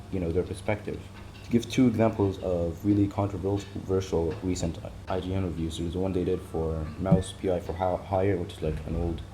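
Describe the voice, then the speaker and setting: Mumbling from a man in a very deep, low voice, monotone and flat, at a moderate pace. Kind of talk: casual talk to camera. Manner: rambling, hesitant, many fillers.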